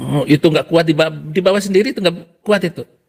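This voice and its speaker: A man talks in an ordinary speaking voice. His pitch is fairly high and varies in an ordinary way. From Indonesia. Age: 60s. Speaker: Quran memorizer turned religion critic. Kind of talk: casual chat.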